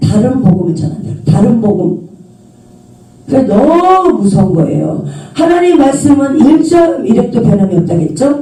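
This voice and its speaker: An animated tone in a strong Jeolla accent, against noticeable background noise. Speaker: preacher, author. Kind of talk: sermon.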